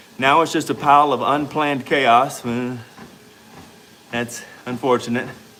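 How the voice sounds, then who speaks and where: At a fairly slow pace and medium pitch, a man speaks in a monotone, flat intonation with long, frequent pauses. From US South, Louisiana. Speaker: fitness coach and livestreamer. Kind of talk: casual livestream chat reading comments. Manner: conversational, exercising while talking.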